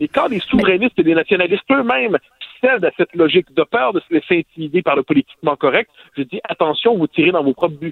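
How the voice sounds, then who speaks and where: A man's high-pitched voice at a very fast pace, with lively intonation. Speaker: sociologist and columnist. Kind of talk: political commentary. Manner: formal.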